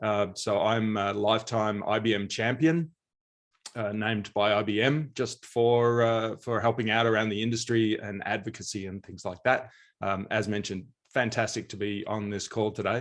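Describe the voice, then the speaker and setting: With an American accent, a man speaks at a moderate pace in a fairly low pitch and fairly even intonation, over a quiet background. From Australia, rural. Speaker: mainframe training company owner, panelist; trainer. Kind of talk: virtual panel discussion. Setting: video call. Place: home room. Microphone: video call.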